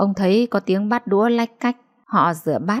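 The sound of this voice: Someone reads aloud. The voice is an unforced reading voice.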